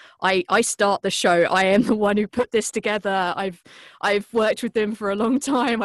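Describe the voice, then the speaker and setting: A woman with a British accent speaks in a cheerful tone. Her pace is fairly quick and her pitch is medium. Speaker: voice actress and podcast producer. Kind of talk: interview. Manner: cheerful, laughs often.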